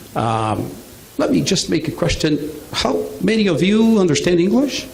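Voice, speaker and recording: The voice swings very widely in pitch, with audible room echo and noticeable background noise. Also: man. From Brazil. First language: Portuguese. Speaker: business presenter. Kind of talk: business presentation. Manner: halting.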